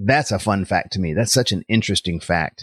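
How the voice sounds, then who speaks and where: Using an ordinary speaking voice, a man talks at a fairly quick pace with lively intonation, the sound dry and close with no echo over a quiet background. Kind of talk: interview with devotional tone.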